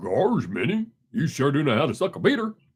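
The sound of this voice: A put-on character voice from a man, fairly high in pitch, with very wide pitch swings. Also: fairly quick pace.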